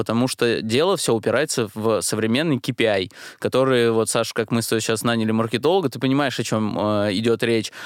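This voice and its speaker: An unremarkable speaking voice moves at a moderate pace with ordinary pitch variation, its sound dry and close with no echo. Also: man. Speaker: podcast co-host. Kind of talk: casual podcast chat.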